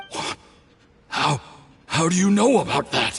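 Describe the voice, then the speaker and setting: The speaker does a growling, put-on character voice. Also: man, high pitch for a man, moderate pace. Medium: video game. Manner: defiant.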